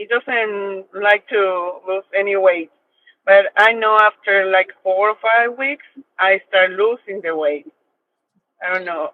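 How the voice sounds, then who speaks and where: A woman with a Mexican accent is talking. Her pace is very slow, and her pitch varies in an ordinary way. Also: medium pitch for a woman. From Mexico, Mexico City. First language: Spanish. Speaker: coaching client. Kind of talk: question on video call. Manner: halting.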